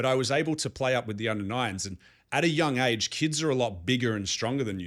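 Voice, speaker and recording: A man with an Australian accent at a very fast pace, ordinary pitch variation, very clean recording with a silent background. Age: 30s. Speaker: life coach vlogger. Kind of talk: motivational monologue.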